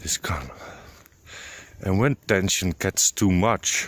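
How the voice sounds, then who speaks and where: Whispering with a Dutch accent, a man is heard in a dry, close sound with no echo. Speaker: vlogger on high sensitivity. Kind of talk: casual solo vlog talk. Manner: halting, many fillers.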